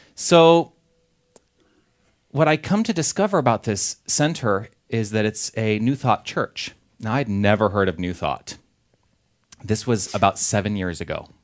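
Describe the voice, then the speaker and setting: Speaking fairly slowly with long, frequent pauses, a man with a Californian accent uses a fairly low pitch and lively intonation on a very clean recording with a silent background. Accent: California. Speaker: minister. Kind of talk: sermon. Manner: casual, conversational.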